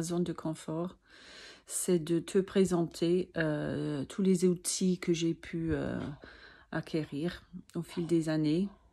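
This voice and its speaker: On a very clean recording with a silent background, a woman with a non-native accent speaks very slowly at a fairly low pitch, her tone dark and mellow and her intonation monotone and flat. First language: not French (speaking French). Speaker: sophrology practitioner and vertigo sufferer. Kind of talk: personal video talk to camera. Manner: halting, many hesitations.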